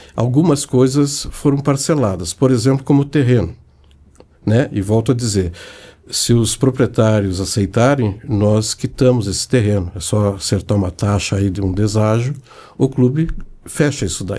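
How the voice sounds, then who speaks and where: A man speaks at a moderate pace with a medium pitch. His tone is dark and mellow, with ordinary pitch variation. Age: 70s. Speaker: club finance director. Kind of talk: interview.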